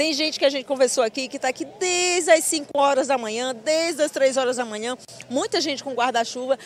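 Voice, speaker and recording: The voice moves at a fairly quick pace with ordinary pitch variation. The sound is dry with no echo, over light background noise. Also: woman, high pitch for a woman. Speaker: field reporter. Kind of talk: live news report. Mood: cheerful, upbeat. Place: open country. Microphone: handheld.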